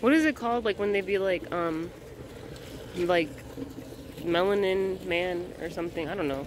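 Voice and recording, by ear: A woman speaks at a moderate pace with a fairly low pitch and ordinary pitch variation. Faint background noise can be heard.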